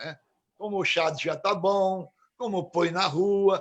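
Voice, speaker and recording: A man is speaking here. His pace is very slow. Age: 70s. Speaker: recovering addict, support group coordinator. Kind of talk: casual chat.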